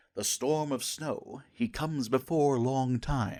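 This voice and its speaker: In a very clean recording with a silent background, a man does a put-on character voice at a fairly high pitch and a fairly slow pace. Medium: read story. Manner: fearful, halting.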